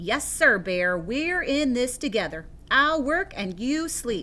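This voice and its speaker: Woman in a put-on character voice, high pitch with very wide pitch swings, fairly slow pace. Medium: read story. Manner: friendly, persuasive.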